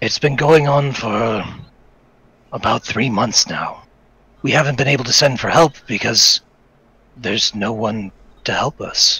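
Putting on a raspy character voice at medium pitch, a man talks at a moderate pace with long, frequent pauses. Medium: actual play. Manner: mild, rambling.

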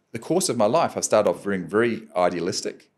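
With a New Zealand accent, a man speaks at a moderate pace with very wide pitch swings against a quiet background. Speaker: adventurer and professional speaker; podcast guest. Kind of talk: podcast interview answer. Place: studio. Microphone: studio mic.

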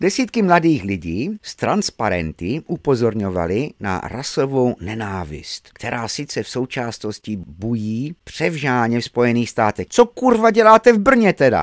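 Barely pausing, a man speaks at a moderate pace and medium pitch in a furious, animated tone with very wide pitch swings, the sound dry and close with no echo. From England. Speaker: video blogger commenting on news. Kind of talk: angry rant. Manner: loud, sarcastic, vulgar, furious; mocking, animated, exasperated.

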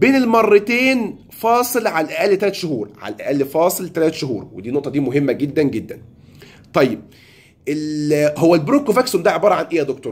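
Very wide pitch swings in an Egyptian accent. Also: man, high pitch for a man, moderate pace. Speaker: pharmacist. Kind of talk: tutorial. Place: home room. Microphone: phone near.

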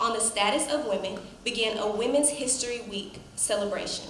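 A woman speaks at a high pitch and a moderate pace, with ordinary pitch variation. There is audible room echo and light background noise. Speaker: master of ceremonies. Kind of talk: formal ceremony hosting. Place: hall. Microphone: podium.

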